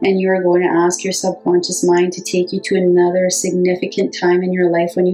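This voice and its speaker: Against music in the background, a woman with a fairly low pitch talks at a moderate pace. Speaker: hypnotherapist. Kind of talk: guided hypnosis meditation.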